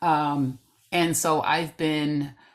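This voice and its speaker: A woman with an American accent. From New Bedford, Massachusetts. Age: 60s. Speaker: singer-songwriter. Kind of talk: interview. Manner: halting, many fillers and repetitions.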